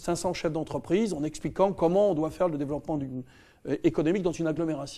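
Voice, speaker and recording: A man's fairly high, dark and mellow voice with ordinary pitch variation over a quiet background. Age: 60s. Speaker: politician. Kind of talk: campaign video address. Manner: halting, many hesitations.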